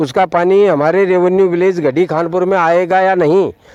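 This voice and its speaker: A high-pitched man with fairly even intonation amid noticeable background noise. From Rajasthan, Sikar district. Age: 70s. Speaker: elderly villager. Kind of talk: interview.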